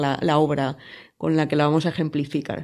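A woman keeps a moderate pace while the background stays quiet. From Spain, province of Alicante. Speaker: podcast co-host, author. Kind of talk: casual chat.

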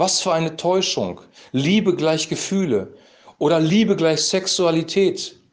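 A man talks at a fairly slow pace in a high voice, with ordinary pitch variation and very even loudness. Room echo is audible. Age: 50s. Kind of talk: devotional talk, sermon-like monologue.

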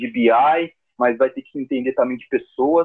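In an unremarkable speaking voice, a man talks at a moderate tempo. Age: 30s. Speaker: account manager. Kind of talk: casual interview.

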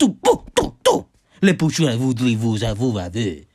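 Putting on a character voice with a French accent, a man speaks at a medium pitch and a fairly slow pace. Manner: mocking, gibberish.

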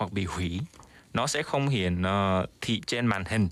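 A man with a fairly low pitch talks at a very slow pace with lively intonation, in a very clean recording with a silent background. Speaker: student and radio segment presenter. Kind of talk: radio news segment.

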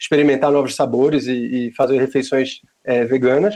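He has a plain, everyday voice with a fairly high pitch. The man talks at a fairly quick pace. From Pernambuco, northeastern Brazil. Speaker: vegan restaurant owner. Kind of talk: casual interview.

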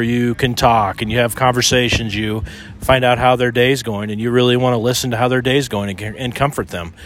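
Music plays behind a man who talks at a fairly quick pace, his medium-pitched voice fairly even in intonation. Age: 50s. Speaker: podcast co-host. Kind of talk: casual chat. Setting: outdoors on a beach.

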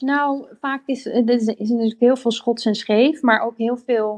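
A woman speaks in a fairly high pitch. Her pace is very slow. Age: 30s. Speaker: interior designer. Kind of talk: casual chat. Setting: live audio room (Clubhouse).

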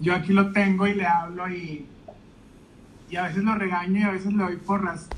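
With a Mexican accent, a man speaks at a moderate pace in a high, monotone, flat voice, leaving long, frequent pauses, with audible room echo and noticeable background noise. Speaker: podcast host. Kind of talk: casual interview chat. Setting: Instagram live video call.

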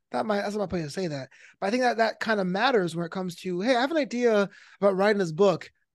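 In a quiet background, a man with an American accent talks at a very fast pace, his pitch high and intonation lively. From New York. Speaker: stand-up comedian and esports commentator. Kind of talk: casual interview chat. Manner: high energy.

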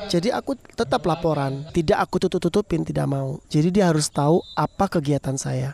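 Very fast speech comes from a woman with a dark, mellow tone and ordinary pitch variation. The sound is dry and close, with no echo. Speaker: former badminton athlete and volleyball club figure. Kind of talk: casual interview. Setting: outdoors at volleyball court at night.

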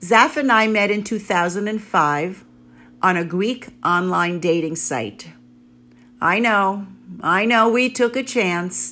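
In a New York accent, a woman with a bright, sharp tone speaks at a fairly slow pace. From New York City. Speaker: blogger. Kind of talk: scripted narration.

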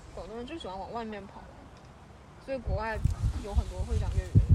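Over noticeable background noise, a woman talks at a fairly quick pace. Her tone is animated. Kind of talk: casual chat. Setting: outdoors on a playground climbing frame. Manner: animated, joking.

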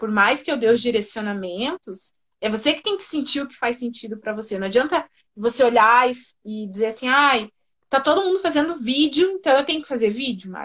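A woman speaks at a high pitch and a fairly quick pace. Her intonation is lively and her loudness swings widely. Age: 20s. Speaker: personal branding consultant. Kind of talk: casual interview.

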